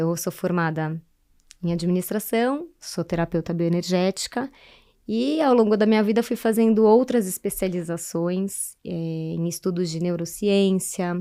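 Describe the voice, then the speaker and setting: On a very clean recording with a silent background, a woman speaks fairly slowly at medium pitch in a dark, mellow tone. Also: ordinary pitch variation. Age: 40s. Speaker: therapist and human development facilitator. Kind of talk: podcast interview.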